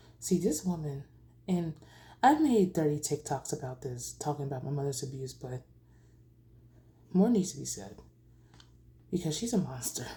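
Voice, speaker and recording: A woman with a very deep, low pitch and a dark, mellow tone speaks at a moderate pace with vocal fry. Her intonation is lively, her loudness swings widely, and she takes long, frequent pauses. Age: 20s. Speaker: vlogger sharing personal story. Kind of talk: personal testimony. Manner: halting.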